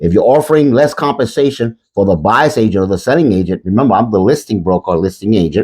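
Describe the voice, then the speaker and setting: Against a quiet background, a man speaks fairly quickly with vocal fry. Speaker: real estate broker. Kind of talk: promotional talk to camera. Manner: halting.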